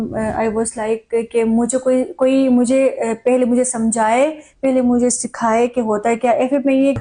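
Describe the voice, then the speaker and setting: Her fairly high-pitched voice has a dark, mellow tone, and this woman speaks in a monotone, flat intonation. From Nagar, Gilgit-Baltistan. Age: young. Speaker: media person, former FM radio host. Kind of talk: interview answer.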